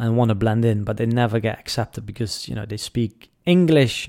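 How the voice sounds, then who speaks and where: A man with a Dutch accent speaks at a medium pitch with ordinary pitch variation, in a very clean recording with a silent background. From Netherlands. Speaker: podcast host and business coach. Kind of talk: solo podcast talk. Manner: casual with many fillers.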